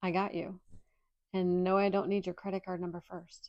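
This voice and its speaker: A woman's fairly quick, monotone delivery at medium pitch, flat in intonation. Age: 50s. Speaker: podcast host and indie author. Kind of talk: casual personal monologue. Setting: at home in pajamas.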